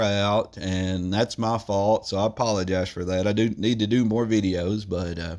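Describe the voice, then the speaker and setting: A man with a Southern Tennessee accent at a moderate pace, in a very clean recording with a silent background. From US South, Tennessee. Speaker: YouTuber doing product reviews. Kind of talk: casual product review vlog. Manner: rambling, halting with fillers.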